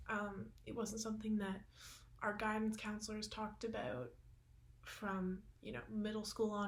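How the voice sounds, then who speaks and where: A Canadian accent at a moderate pace, with noticeable background noise. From Canada. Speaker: university student. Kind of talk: panel testimony.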